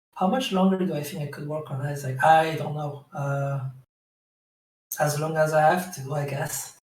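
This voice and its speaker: In a room with audible echo, a man speaks at a fairly high pitch with fairly even intonation. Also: moderate pace. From France. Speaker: game developer. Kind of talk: Q&A session. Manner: hesitant, filler-heavy.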